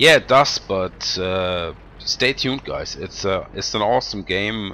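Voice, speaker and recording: Noticeable background noise sits behind a man with a non-native accent. He speaks at a fairly slow pace in a fairly low pitch. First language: not English. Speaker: gameplay commentator. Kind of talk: video game commentary. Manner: halting, many fillers.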